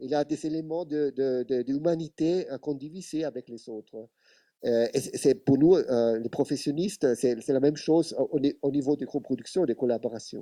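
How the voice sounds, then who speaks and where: On a very clean recording with a silent background, a man talks in a fairly high pitch with a dark, mellow tone. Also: ordinary pitch variation, moderate pace. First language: Italian (speaking French). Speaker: television expert. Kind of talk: panel discussion. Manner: halting.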